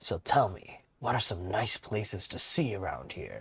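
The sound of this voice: A man puts on a gruff character voice at a fairly low pitch. He keeps a moderate pace, with big swings in loudness.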